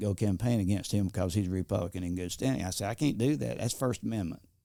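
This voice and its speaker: A man's very fast, fairly low, dark and mellow voice with ordinary pitch variation, on a very clean recording over a silent background. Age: 70s. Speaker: Air Force veteran and freshman legislator. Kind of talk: casual interview. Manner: halting.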